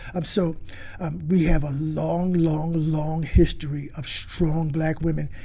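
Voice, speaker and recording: Over noticeable background noise and audible room echo, a man speaks at a fairly slow pace with a fairly high pitch and a monotone, flat intonation. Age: 70s. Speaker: historian. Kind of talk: interview. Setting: studio. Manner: halting, many fillers and restarts.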